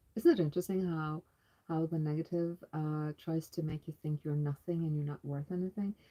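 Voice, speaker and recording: A woman talks at a fairly quick pace in a very deep, low pitch with fairly even intonation. Her tone is dark and mellow, and the sound is dry and close with no echo. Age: 50s. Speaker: homesteading channel co-host. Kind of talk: spiritual testimony of visions; casual live chat.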